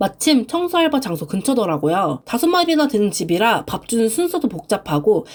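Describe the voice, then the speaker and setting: Fairly quick, fairly high female speech with very wide pitch swings against noticeable background noise. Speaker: frugal-living vlogger with side jobs. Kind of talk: vlog voice-over narration.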